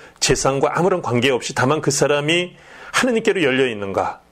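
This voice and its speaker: With lively intonation, a man speaks at a moderate pace in an unremarkable speaking voice. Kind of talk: religious education talk show.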